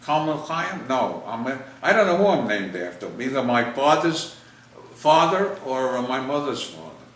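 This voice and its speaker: A man at medium pitch with very wide pitch swings and a moderate pace, amid noticeable background noise and audible room echo. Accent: New York. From US Northeast, New York City (Bronx). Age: 80s+. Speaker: WWII veteran interviewed about family history. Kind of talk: casual family interview. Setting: home video interview on camera. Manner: halting.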